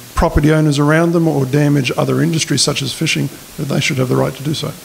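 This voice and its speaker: Over noticeable background noise, a man with an Australian accent talks fairly quickly at a fairly high pitch. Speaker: political candidate. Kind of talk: candidate forum speech. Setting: community hall forum with audience.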